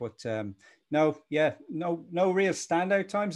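Lively intonation in a Dublin accent. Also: man. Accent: Dublin Irish. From Ireland, Dublin. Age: 40s. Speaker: e-commerce agency founder. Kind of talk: interview. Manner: animated.

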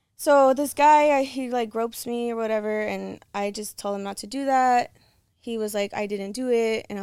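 A woman with an American accent, fairly high in pitch, at a moderate pace with fairly even intonation, on a very clean recording with a silent background. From Los Angeles, California. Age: 20s. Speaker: content creator. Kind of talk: casual chat.

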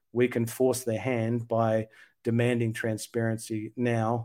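A man's medium-pitched, dark, mellow voice in an Australian accent, with monotone, flat intonation. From Sydney, Australia. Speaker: UFO researcher and advocate. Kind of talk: podcast interview.

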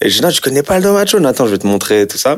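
The voice belongs to a man. It rises and falls across very wide pitch swings. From France, Algerian heritage. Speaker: actor. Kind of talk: casual interview. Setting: sitting on a couch. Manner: halting, repetitive hesitations.

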